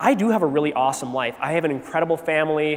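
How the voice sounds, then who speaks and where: A man with an American accent speaks at a moderate pace in a fairly high pitch, with ordinary pitch variation. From Wisconsin, US Midwest. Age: 30s. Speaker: teacher giving a faith talk at a youth retreat. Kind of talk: faith testimony talk to teenagers. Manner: casual, halting with fillers.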